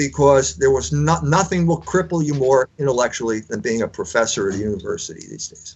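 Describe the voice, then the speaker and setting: A man speaks in a fairly high, somewhat breathy voice with an American accent, his pitch swinging very widely. He talks at a fairly quick pace with hardly any pauses. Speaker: author and editor. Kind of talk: interview.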